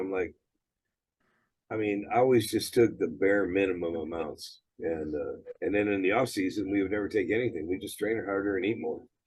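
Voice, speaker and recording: An ordinary speaking voice moves at a fairly quick pace with ordinary pitch variation. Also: man. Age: 60s. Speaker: gym owner and former bodybuilder. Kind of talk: interview.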